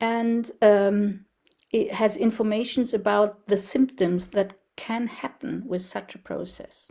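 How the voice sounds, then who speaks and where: Speaking very slowly, a woman with a German accent uses fairly even intonation at a fairly high pitch. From Germany. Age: 70s. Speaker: researcher and speaker on ageing. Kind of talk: presentation. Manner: halting.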